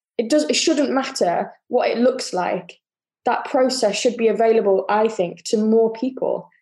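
A woman with a British accent speaks in a fairly high voice with a dark, mellow tone. Her pace is moderate, her loudness very even, and her pitch variation ordinary. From UK. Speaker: yoga teacher. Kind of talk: casual interview chat.

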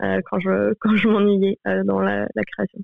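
A woman's medium-pitched voice at a moderate pace, with monotone, flat intonation. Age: 20s. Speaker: painter. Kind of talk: interview.

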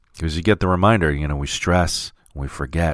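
A man's voice with fairly even intonation. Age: 40s. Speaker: life coach. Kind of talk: solo podcast monologue; guided exercise.

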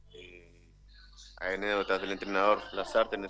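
A man talking at a very fast pace. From Uruguay, Artigas (Brazilian border). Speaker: retired footballer. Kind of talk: casual interview.

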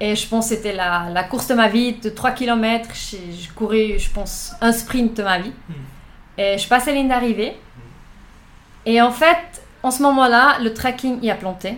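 Over noticeable background noise, a woman speaks at a fairly high pitch with ordinary pitch variation. Her pace is fairly slow, and her loudness swings widely. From Switzerland, Thun area (Bernese Oberland). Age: 20s. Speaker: amateur triathlete. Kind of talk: interview.

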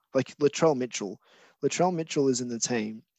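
A man speaks with an Australian accent. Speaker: stand-in podcast co-host. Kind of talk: casual chat.

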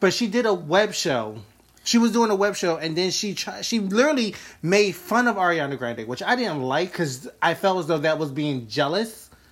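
The speaker has an animated tone at a moderate pace. Noticeable background noise is present. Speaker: podcast host. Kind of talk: casual chat. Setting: live video chat. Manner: animated, joking.

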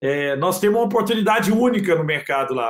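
This man speaks with a high pitch. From Brazil, Minas Gerais (Triângulo Mineiro). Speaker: tech entrepreneur. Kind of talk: interview.

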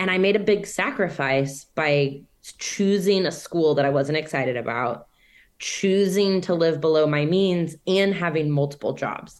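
A woman talks in an ordinary speaking voice at a fairly slow pace. Her pitch is fairly low, with ordinary pitch variation. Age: 30s. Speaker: real estate investor. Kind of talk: interview.

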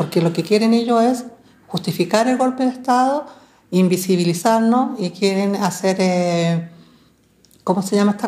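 A woman speaks at a moderate pace in a somewhat breathy voice with a dark, mellow tone. Her loudness stays very even. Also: medium pitch for a woman, ordinary pitch variation. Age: 60s. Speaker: relative of disappeared victims, archivist. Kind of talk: testimony. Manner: halting, frequent fillers.

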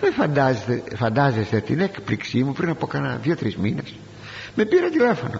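A man keeps a moderate pace as noticeable background noise sounds behind him. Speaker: preacher. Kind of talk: sermon. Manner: formal.

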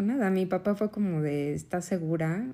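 A woman's medium-pitched voice, dark and mellow in tone, with ordinary pitch variation on a very clean recording against a silent background. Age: 30s. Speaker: podcast host, mother. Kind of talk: personal testimony, partly read aloud.

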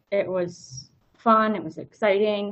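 A woman speaks with an American accent. Her voice sits at a medium pitch. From rural US. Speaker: nurse and Spanish teacher. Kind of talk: casual interview. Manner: talkative.

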